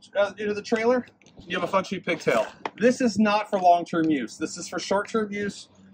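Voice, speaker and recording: A man at a moderate pace and high pitch, against noticeable background noise. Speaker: fleet trainer. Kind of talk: tutorial. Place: street. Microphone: camera far.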